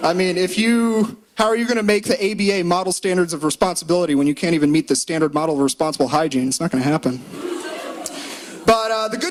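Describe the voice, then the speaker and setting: Over noticeable background noise, a man talks loudly and very fast in a high pitch, his voice swinging very widely up and down. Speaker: law student doing comedy. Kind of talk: stand-up. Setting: stage with audience. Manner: animated.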